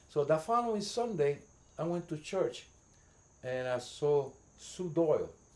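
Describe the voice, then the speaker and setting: In a Puerto Rican accent, a man with a fairly high pitch talks at a fairly slow pace with lively intonation and long, frequent pauses. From New York City, the Bronx. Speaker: community volunteer. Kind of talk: casual interview. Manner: halting, repeats words.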